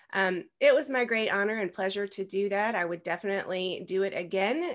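The pace is fairly quick. Behind the voice, the background is quiet. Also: woman. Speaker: podcast guest. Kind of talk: interview answer. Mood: warm, proud, some laughs. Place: home room. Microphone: video call.

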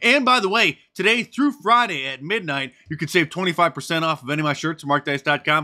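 A man speaks with lively intonation and a bright, sharp tone. His pace is moderate, and the background is quiet. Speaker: political commentary youtuber. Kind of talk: video commentary. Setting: home studio. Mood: sarcastic, opinionated.

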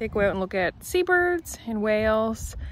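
A woman's voice comes through dry, with no echo. Light background noise sits behind her. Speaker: vlogger. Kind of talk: casual vlog chat. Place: open country. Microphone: phone near.

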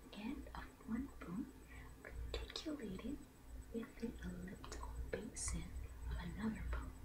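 A soft-spoken woman speaks at a fairly slow pace with long, frequent pauses over loud background noise. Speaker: ASMR creator. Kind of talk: ASMR anatomy reading. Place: home room. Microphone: studio mic.

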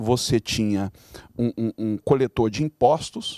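A man with a Brazilian accent, dark, mellow tone and fairly slow pace, over a quiet background with dry sound and no echo. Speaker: bishop. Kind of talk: panel discussion. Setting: studio. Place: studio. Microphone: handheld.

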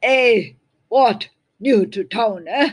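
The voice is a put-on character voice. It comes across gruff. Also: female-sounding voice, fairly high pitch for a woman. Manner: brusque, calling out.

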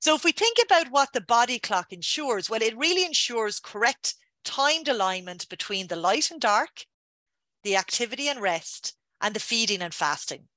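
A woman's voice has a bright, sharp tone with very wide pitch swings. The sound is dry, with no echo. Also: moderate pace, quiet background. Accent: Irish. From Ireland, Dublin. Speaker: scientist. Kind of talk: lecture. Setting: video call. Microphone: webcam.

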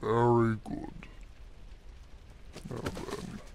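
Put-on character voice from a man, with clear background noise behind it.

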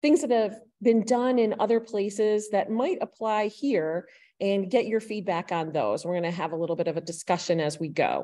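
A woman at a moderate pace, dark and mellow in tone, with lively intonation. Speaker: public meeting facilitator. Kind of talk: meeting presentation. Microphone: video call.

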